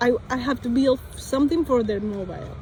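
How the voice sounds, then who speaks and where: A woman with a Spanish accent speaks at a fairly slow pace with ordinary pitch variation over noticeable background noise. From Colombia. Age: 20s. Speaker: vlogger. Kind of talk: casual monologue. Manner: halting.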